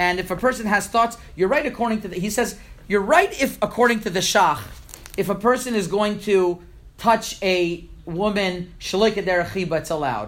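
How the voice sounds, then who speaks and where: A man with a high pitch and ordinary pitch variation speaks at a moderate pace, with audible room echo. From Montreal, Canada. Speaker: rabbi. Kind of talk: lecture. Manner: halting, with frequent repetitions.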